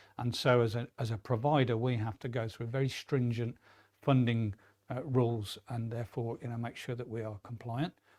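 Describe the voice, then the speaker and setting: Talking at a fairly quick pace, a man with a Midlands accent has a medium pitch and a dark, mellow tone. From English Midlands. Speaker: apprenticeship programme lead at a business school. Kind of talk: webinar interview. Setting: studio.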